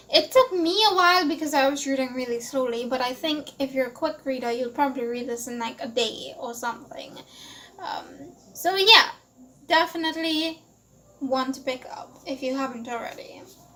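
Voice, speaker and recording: A woman's high-pitched, raised, projected voice with big swings in loudness and ordinary pitch variation. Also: moderate pace. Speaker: book vlogger. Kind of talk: casual monologue review.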